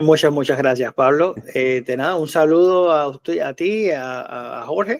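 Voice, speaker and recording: A man with a Cuban accent speaks at a fairly slow pace with hardly any pauses. His pitch is fairly high. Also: ordinary pitch variation. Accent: Cuban Spanish with Canarian-like lilt. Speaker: association president, activist. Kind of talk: interview. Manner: halting, many fillers.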